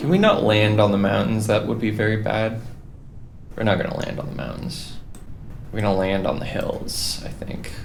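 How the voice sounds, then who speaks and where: With long, frequent pauses, a man at a fairly low pitch and ordinary pitch variation speaks at a moderate pace amid audible room echo and noticeable background noise. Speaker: gaming youtuber. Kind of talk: gameplay commentary. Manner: casual, filler-heavy.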